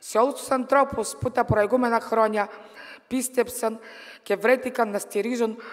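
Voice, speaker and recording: A woman speaks with a Bulgarian accent at a fairly slow pace, her pitch fairly high. Her pitch varies in an ordinary way, and the background is quiet. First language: Bulgarian (speaking Greek). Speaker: politician and trade unionist; politician. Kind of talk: political speech. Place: hall. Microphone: podium.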